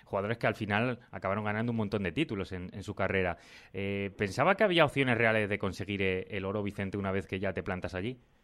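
His speech comes at a very fast pace. This man shows ordinary pitch variation. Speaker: sports podcast host. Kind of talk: interview.

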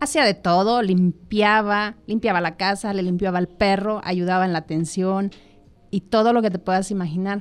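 Over a quiet background, a woman with a Mexican accent speaks at a moderate pace, with medium pitch and fairly even intonation. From Mexico, Michoacán. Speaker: entrepreneur. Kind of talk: casual chat. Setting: studio.

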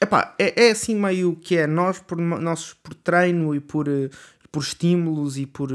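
A man's high voice with ordinary pitch variation at a fairly slow pace, on a very clean recording with a silent background. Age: 20s. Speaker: podcaster. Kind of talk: casual monologue. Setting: home bedroom. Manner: hesitant, many fillers.

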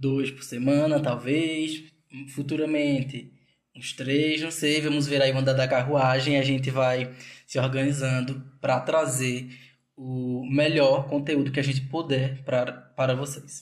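A man with a strong Northeastern Brazilian accent speaks at a fairly slow pace in a fairly high pitch, his intonation monotone and flat, with audible room echo. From interior of Pernambuco, Brazil. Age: 20s. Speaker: podcast co-host, dance student. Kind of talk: casual podcast intro.

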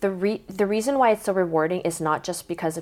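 In an American accent, an unremarkable speaking voice moves at a fairly quick pace with ordinary pitch variation on a very clean recording with a silent background. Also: woman. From South Korea, then Portland, Oregon. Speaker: guest, triathlete. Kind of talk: casual chat.

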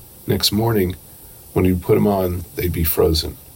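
Over noticeable background noise, a man talks at a very deep, low pitch. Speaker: poet and professor. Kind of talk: poem reading, then interview answers. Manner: measured, deliberate, reflective.

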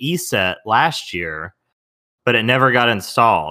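The man's tone is bright and sharp, with a Southern US accent. The recording is very clean with a silent background. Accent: Southern US, runs words together. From US South. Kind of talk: casual chat.

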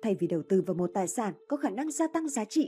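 Music plays in the background as a woman talks at a very fast pace. Her fairly high voice makes very wide pitch swings. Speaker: audiobook narrator. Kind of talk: reading aloud.

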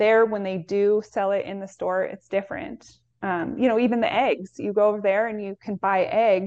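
Using an unremarkable speaking voice, a woman talks at a moderate pace with hardly any pauses, medium pitch and ordinary pitch variation. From US Pacific Northwest. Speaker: health educator. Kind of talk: casual chat.

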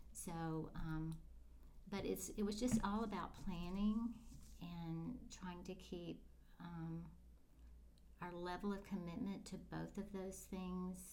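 A woman with an American accent talks at a very slow pace, leaving long, frequent pauses, with audible room echo around her. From Florida Panhandle. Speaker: educator and pastor's wife. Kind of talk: interview.

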